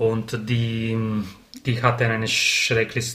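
Over noticeable background noise, a man with an Italian accent speaks at a medium pitch and a very slow pace. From Sardinia, Italy. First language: Italian (speaking German). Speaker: poetry slam organizer. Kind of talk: casual chat. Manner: halting.

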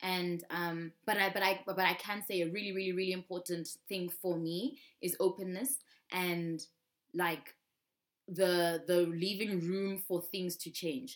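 The speaker is a woman with an ordinary speaking voice. Her pitch is medium. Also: fairly even intonation, fairly slow pace. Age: 20s. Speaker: musician. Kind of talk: casual chat. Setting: video call.

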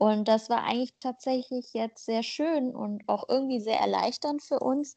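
A woman with a normal speaking voice talks at a fairly slow pace with ordinary pitch variation against a quiet background. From Germany, with migration background. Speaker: podcast co-host. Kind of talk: casual chat.

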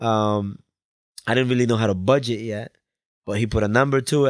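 A man with an American accent, medium pitch, an unremarkable speaking voice and a fairly quick pace. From Colombia, then Bridgeport, Connecticut from age eleven. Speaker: music video director. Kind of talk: casual interview chat. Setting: studio.

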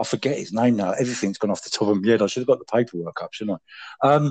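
With an English accent, a man speaks in a lively intonation. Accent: British, English. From England. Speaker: podcast guest. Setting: phone. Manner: refined, eloquent delivery he says he puts on for the phone.

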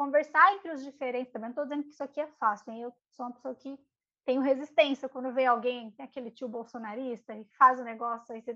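A woman talks at a very fast pace in a high pitch. Her tone is bright and sharp, with big swings in loudness. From São Paulo periphery, Brazil. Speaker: podcast co-host. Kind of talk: casual chat about readings.

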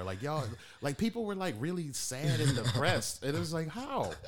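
Amid audible room echo, a man with an American accent speaks at a fairly high pitch and a fairly quick pace, his pitch swinging very widely. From Detroit, Michigan. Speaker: podcast host. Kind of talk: casual chat.

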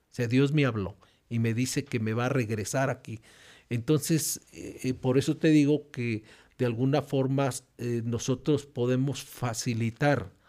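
A man's medium-pitched voice at a fairly slow pace, dark and mellow in tone, with fairly even intonation, in a very clean recording over a silent background. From Mexico. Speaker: pastor and regional church presbyter. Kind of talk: interview testimony. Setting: church.

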